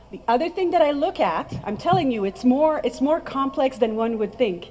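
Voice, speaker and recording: Lively intonation over noticeable background noise. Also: woman. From France. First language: French. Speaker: skincare trainer. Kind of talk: presentation to audience. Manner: animated.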